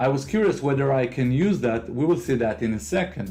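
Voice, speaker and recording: With music in the background, a man with an Israeli accent speaks at a moderate pace and medium pitch, his intonation lively. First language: Hebrew. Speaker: tech video creator. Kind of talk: software tutorial.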